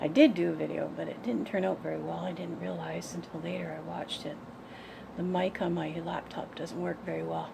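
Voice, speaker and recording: A woman speaks at a fairly quick pace over noticeable background noise and audible room echo. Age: 60s. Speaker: vlogger sharing personal diet journey. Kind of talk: personal vlog testimony. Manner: halting, with fillers and repetitions.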